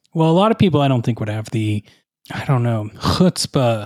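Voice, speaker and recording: With lively intonation, a man speaks in a plain, everyday voice, the sound dry and close with no echo. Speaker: podcast host. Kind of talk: comedic interview with a character guest.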